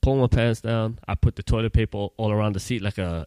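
A man with a normal speaking voice and medium pitch is heard in a dry, close recording with no echo. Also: very clean recording, silent background. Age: 30s. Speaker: podcast co-host. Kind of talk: casual chat.

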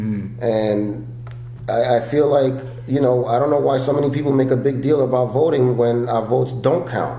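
This man, speaking with a New York accent, has a medium pitch and fairly even intonation over noticeable background noise. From New York, the Bronx. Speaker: stand-up comedian and actor. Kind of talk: casual interview chat.

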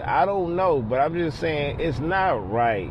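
The man's pitch is fairly high, with ordinary variation. Noticeable background noise is present. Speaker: listener leaving voicemail. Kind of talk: casual voicemail message. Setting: phone voicemail.

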